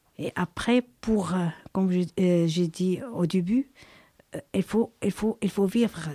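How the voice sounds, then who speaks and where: A woman's dark, mellow tone at medium pitch, very slow pace and fairly even intonation. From abroad. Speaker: migrant mother, former squatter. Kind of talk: testimony. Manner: halting.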